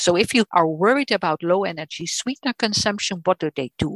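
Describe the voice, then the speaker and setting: A woman's fairly low voice with a Dutch accent, lively intonation and a moderate pace, recorded dry and close with no echo. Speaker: nutrition professor. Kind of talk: lecture. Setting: video call. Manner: halting.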